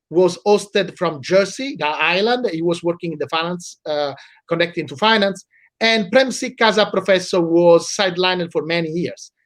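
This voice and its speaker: A man in an Italian accent, high in pitch, at a moderate pace, with ordinary pitch variation. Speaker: law professor. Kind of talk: interview. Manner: halting.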